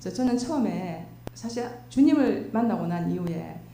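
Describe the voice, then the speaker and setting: Noticeable background noise and audible room echo surround this woman as she speaks. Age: 60s. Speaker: church deaconess. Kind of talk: testimony.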